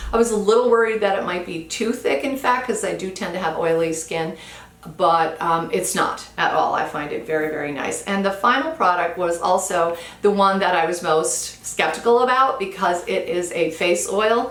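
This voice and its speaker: Over noticeable background noise and audible room echo, a woman speaks at a moderate pace and medium pitch with lively intonation. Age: 60s. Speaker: beauty vlogger. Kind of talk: product review. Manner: casual, conversational.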